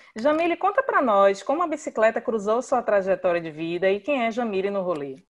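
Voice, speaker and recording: Her pitch swings very widely as a woman speaks in a Bahian accent. She keeps a fairly quick pace with hardly any pauses. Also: fairly high pitch for a woman. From Bahia, Brazil. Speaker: podcast host. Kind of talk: podcast interview.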